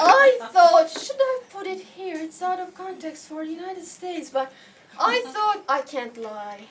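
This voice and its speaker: Extremely high-pitched woman, fairly slow, with very wide pitch swings, big swings in loudness and noticeable background noise. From Turkey. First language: Turkish. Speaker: visiting researcher. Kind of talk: lecture.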